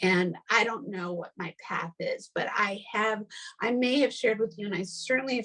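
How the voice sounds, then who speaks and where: A woman talks at a moderate pace with ordinary pitch variation, her voice somewhat breathy. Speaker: podcast host. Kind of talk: casual chat. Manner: animated.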